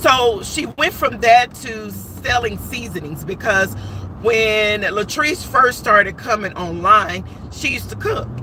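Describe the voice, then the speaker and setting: The voice moves at a fairly slow pace with big swings in loudness, over noticeable background noise. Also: woman. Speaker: live stream commentator. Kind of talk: casual live stream commentary.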